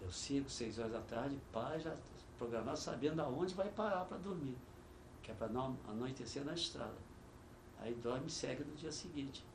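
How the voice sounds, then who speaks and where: Over noticeable background noise and audible room echo, a man speaks at a moderate pace with long, frequent pauses. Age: 70s. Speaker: veteran cyclist. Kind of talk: oral history interview. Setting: studio.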